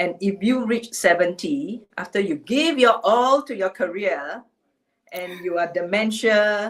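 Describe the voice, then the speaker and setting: A woman with an unremarkable speaking voice, medium pitch, lively intonation and a fairly slow pace. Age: 60s. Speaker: HR executive. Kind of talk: webinar talk. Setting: livestream.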